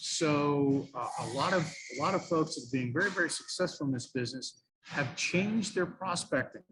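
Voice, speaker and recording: With an ordinary speaking voice, a man talks fairly high in pitch, varying it in an ordinary way. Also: moderate pace. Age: 60s. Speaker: radio sales trainer. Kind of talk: interview.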